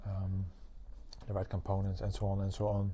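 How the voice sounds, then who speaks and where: Somewhat breathy, a man speaks with a Dutch accent at a fairly low pitch. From Netherlands. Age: 20s. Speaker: tech company partner. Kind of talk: interview. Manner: halting, many fillers.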